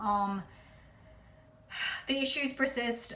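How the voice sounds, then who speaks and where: There is noticeable background noise and audible room echo. Through it, a woman speaks with an American accent. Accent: New Jersey accent, lighter on camera. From New Jersey. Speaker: vlogger. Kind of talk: casual vlog monologue. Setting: at home. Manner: fast.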